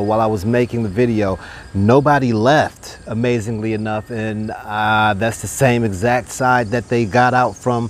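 The voice moves at a moderate pace with fairly even intonation, the sound dry with no echo. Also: man. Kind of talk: tutorial. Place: garden. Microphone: lapel.

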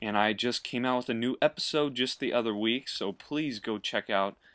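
Over a silent background in a very clean recording, a plain, everyday voice talks at a moderate pace with ordinary pitch variation. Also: man. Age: 20s. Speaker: gaming YouTuber. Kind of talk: gameplay commentary tutorial. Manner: casual, laughing.

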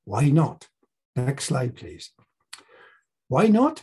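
With a quiet background behind him, a man speaks in a dark, mellow tone, his pitch swinging very widely. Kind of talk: bible talk to a group. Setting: presentation with slides. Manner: informal, slightly halting. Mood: warm, playful teacher tone.

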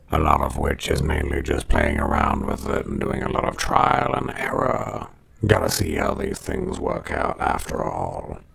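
Using a put-on character voice, a man speaks with a raspy, very deep, low pitch. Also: moderate pace. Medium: tutorial demo.

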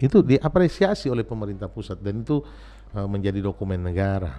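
The man has a fairly low pitch and a dark, mellow tone with vocal fry. He speaks at a fairly quick pace with lively intonation. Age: 50s. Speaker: former city mayor. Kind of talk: interview. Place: studio. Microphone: studio mic.

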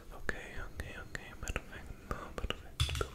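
A soft-spoken man whispering at a very slow pace. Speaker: ASMR creator. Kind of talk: soft-spoken ASMR roleplay. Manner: soft ASMR whisper close to the mic. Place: home room. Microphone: studio mic.

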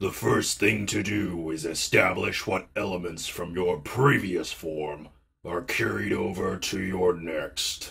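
In a put-on character voice, a man speaks very deep and low with a raspy sound. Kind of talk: comic dub narration.

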